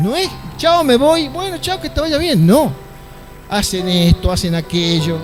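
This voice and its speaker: Music plays in the background as a man talks, with audible room echo. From northwest Argentina, Metán (Salta). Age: 60s. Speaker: pastor. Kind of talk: sermon.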